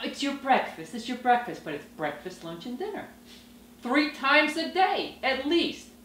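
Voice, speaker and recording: A woman speaks at a moderate pace with a high pitch, very wide pitch swings and big swings in loudness. Room echo and noticeable background noise can be heard. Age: old. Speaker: webisode star. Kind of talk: casual chat. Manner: loud, yelling.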